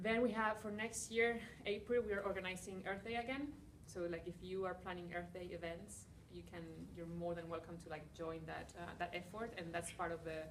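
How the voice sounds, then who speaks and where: A woman with a Spanish accent talks at a fairly quick pace in a fairly low voice with ordinary pitch variation, amid audible room echo and noticeable background noise. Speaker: environmental NGO founder. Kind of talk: conference talk and Q&A. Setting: breakout session with students. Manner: casual, many fillers.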